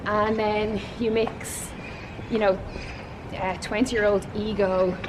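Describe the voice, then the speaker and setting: A woman's very slow, monotone, flat delivery in a strong Dublin accent, fairly high in pitch, with audible room echo and noticeable background noise. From Ireland, Waterford. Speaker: podcast host and TV panelist. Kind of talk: casual interview. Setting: outdoors, walking in a city. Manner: emotive.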